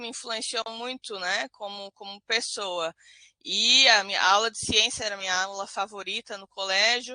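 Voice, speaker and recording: With a bright, sharp tone and big swings in loudness, a woman speaks at a moderate pace with ordinary pitch variation in a dry, close sound with no echo. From Brazil, Florianópolis. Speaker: biologist, professor. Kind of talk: lecture. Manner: halting, many fillers and restarts.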